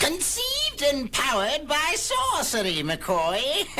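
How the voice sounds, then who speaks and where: Clear background noise beneath a put-on character voice moving at a fairly slow pace. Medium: audio drama.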